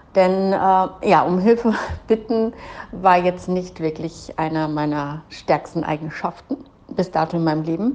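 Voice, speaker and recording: Here is a woman with a normal speaking voice, pitched fairly low. She goes at a fairly slow pace with ordinary pitch variation. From Germany. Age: 40s. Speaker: business coach. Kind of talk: personal monologue.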